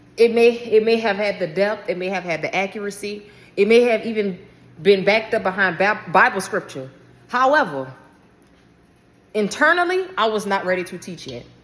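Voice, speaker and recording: In an American accent, a woman speaks at medium pitch with lively intonation and an animated tone. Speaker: religious vlogger. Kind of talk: casual talk to camera, book show-and-tell. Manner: fast.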